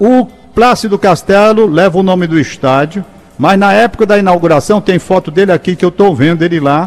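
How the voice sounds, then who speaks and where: High-pitched and fairly quick, a man speaks at very even loudness. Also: ordinary pitch variation. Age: 70s. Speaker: radio host. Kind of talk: radio talk show. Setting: radio studio.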